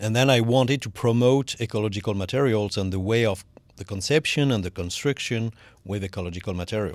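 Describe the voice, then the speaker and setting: Recorded very cleanly with a silent background, a man with a French accent speaks at a very fast pace and fairly low pitch. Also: ordinary pitch variation. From southwest France, near Toulouse. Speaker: energy efficiency expert. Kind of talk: podcast interview. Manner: halting.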